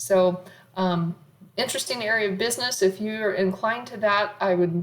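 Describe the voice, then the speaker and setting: This woman has an unremarkable speaking voice, medium in pitch, with fairly even intonation at a moderate pace. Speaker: college accounting professor. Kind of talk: lecture.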